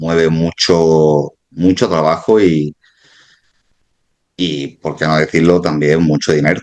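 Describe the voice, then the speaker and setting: Here a man speaks with an Andalusian accent in a very deep, low voice. He keeps a fairly slow pace and fairly even intonation. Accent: Andalusian (Málaga). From Málaga, Andalusia, Spain. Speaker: former security guard, exam candidate. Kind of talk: interview. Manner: halting, many repetitions.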